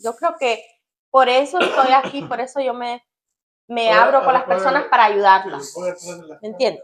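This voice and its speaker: At a moderate pace, a woman talks in a high voice with ordinary pitch variation and long, frequent pauses. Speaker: channel co-host. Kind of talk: casual chat. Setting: home kitchen.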